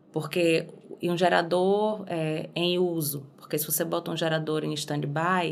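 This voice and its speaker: The speaker uses a monotone, flat intonation. The pace is fairly slow. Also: woman, fairly low pitch for a woman. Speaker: singer. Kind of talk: podcast interview answer.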